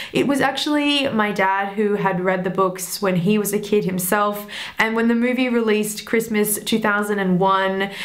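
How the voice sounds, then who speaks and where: A woman at a medium pitch speaks at a moderate pace with fairly even intonation, very even loudness and hardly any pauses, over noticeable background noise and audible room echo. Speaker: film review youtuber. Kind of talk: personal storytelling to camera.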